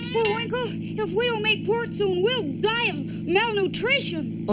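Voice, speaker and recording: A cartoonish character voice that sounds female moves along at a fairly slow pace. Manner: chirpy, earnest.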